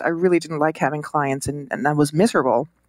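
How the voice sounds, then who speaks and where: A woman with a Swiss accent at a fairly quick pace, ordinary pitch variation, on a very clean recording with a silent background. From Switzerland. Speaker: designer and entrepreneur. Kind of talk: casual interview. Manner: hesitant, filler words, warm.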